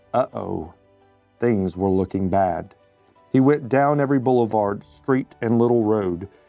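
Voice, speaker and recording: A man speaks at a medium pitch with ordinary pitch variation. Music plays in the background. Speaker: community member reading a children's book. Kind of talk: children's bedtime story reading.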